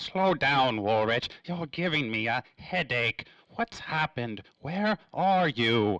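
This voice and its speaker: A put-on character voice at a fairly slow pace, dry and close with no echo. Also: man, medium pitch for a man. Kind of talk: old-time radio drama.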